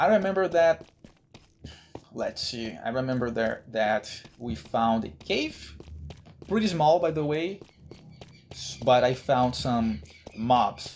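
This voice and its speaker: With a Brazilian accent, the speaker goes at a very slow pace, leaving long, frequent pauses. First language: Brazilian Portuguese. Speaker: gaming YouTuber. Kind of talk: gameplay commentary. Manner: halting, with restarts and repetitions.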